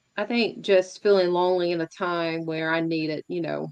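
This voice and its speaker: A woman's very deep, low voice, monotone and flat, against a quiet background. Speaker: poet. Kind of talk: interview answer.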